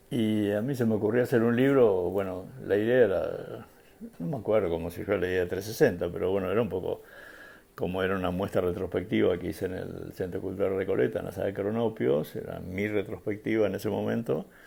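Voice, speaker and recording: Speaking with a Rioplatense accent, a man talks at a very fast pace. His pitch is fairly low, with ordinary variation and a dark, mellow tone. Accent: Argentine Rioplatense Spanish. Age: 70s. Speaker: photographer. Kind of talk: interview. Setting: at his home. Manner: halting, many fillers.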